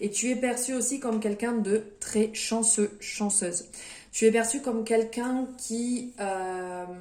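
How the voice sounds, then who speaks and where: A woman with a fairly high pitch speaks at a very slow pace in a dark, mellow tone with fairly even intonation. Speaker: tarot card reader. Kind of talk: tarot reading video. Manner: hesitant, many fillers.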